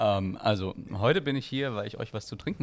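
Using a normal speaking voice, a man talks at a moderate pace in a fairly low pitch. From Austria, Graz. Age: 20s. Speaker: photographer and wine spritzer entrepreneur. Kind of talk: casual chat.

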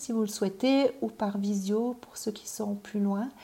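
A woman's fairly high, dark, mellow, somewhat breathy voice, monotone and at a very slow pace. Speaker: parenting and personal development coach. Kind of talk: personal development video talk. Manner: hesitant, many fillers and repetitions.

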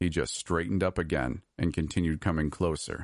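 Dry and close with no echo over a quiet background, a man's voice carries vocal fry at a moderate pace with ordinary pitch variation. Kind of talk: horror fiction narration. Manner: hushed, suspenseful storyteller pacing.

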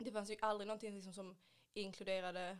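Her medium-pitched voice runs monotone and flat as the woman speaks. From Sweden, Ystad (Skåne). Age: 20s. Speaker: beauty industry worker, adoptee. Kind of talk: casual chat.

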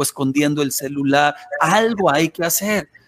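In a dry, close sound with no echo, a man with a fairly high pitch and a normal speaking voice talks at a moderate pace. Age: 40s. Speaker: pastor. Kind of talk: radio interview.

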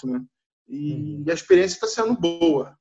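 A man with a fairly high pitch and an unremarkable speaking voice, talking at a fairly slow pace. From Nova Iguaçu, Rio de Janeiro, Brazil. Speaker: lead software developer. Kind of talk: casual group discussion.

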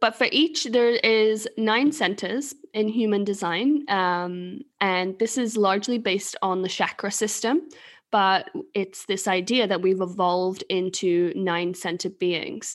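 A woman speaks in an English accent at a fairly slow pace, medium in pitch with ordinary pitch variation. The recording is very clean, with a silent background. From England. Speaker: human design reader and podcast co-host. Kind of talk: casual chat.

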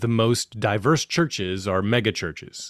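Recorded very cleanly against a silent background, a plain, everyday voice comes through dry and close with no echo at a moderate pace. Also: man. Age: 40s. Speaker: podcast host, former pastor. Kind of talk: casual interview conversation.

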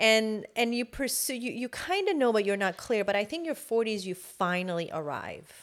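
A woman with a fairly high pitch and a normal speaking voice talks at a moderate pace with lively intonation and hardly any pauses, in a very clean recording against a silent background. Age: 40s. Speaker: journalist and producer. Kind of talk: casual chat.

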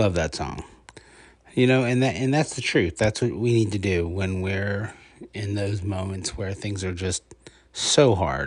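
A man's somewhat breathy voice, fairly slow in pace, with ordinary pitch variation. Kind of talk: casual review podcast monologue. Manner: hesitant, many filler words.

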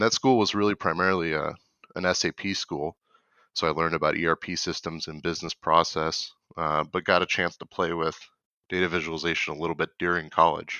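Fairly even in intonation, a man with an American accent and a very deep, low pitch talks at a fairly quick pace. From Michigan. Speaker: corporate data analytics coach. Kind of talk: interview.

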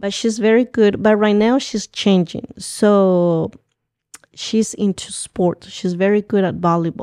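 A woman's dark, mellow voice in a Guatemalan accent, fairly slow and fairly even in intonation, with a dry, close sound and no echo. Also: medium pitch for a woman. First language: Spanish. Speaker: community organizer. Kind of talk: interview. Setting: studio.

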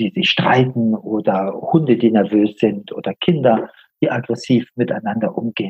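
A man with a somewhat breathy voice talks fairly slowly, his intonation lively. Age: 60s. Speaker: healer and coach, former engineer. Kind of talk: interview.

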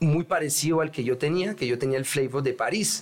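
A man with ordinary pitch variation keeps a moderate pace while noticeable background noise plays behind him. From Paris, France, Colombian parents. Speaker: rapper. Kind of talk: casual chat.

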